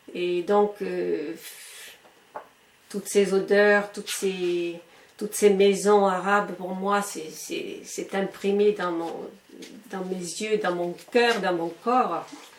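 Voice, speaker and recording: Against noticeable background noise, a woman with a medium-pitched voice speaks very slowly in a monotone, flat delivery broken by long, frequent pauses. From Algeria. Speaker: retired schoolteacher. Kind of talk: interview answer.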